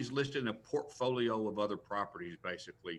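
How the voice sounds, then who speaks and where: A man with an American accent speaks at a fairly quick pace in an ordinary speaking voice. His pitch is medium, with ordinary pitch variation. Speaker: professional auctioneer and real estate auctioneer. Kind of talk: interview answer on a live news talk show.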